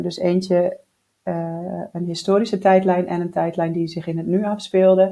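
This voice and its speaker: Slowly, at a very slow pace, a woman speaks in a flat monotone with a medium pitch and a dark, mellow tone. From Netherlands (Groningen). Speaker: writing podcast co-host, novelist. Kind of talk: casual chat. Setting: at a kitchen table.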